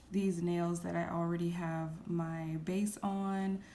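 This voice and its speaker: A woman with a fairly low pitch and a dark, mellow tone speaks at a very slow pace in a flat monotone. Room echo is audible. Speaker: nail artist. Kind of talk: tutorial. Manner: casual, chatty.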